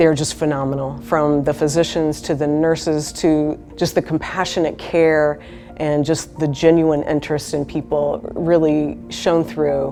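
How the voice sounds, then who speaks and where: Over music in the background, a woman talks at a fairly slow pace with hardly any pauses, her very deep, low pitch held in a monotone, flat intonation. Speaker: hospital chaplain. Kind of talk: interview answer.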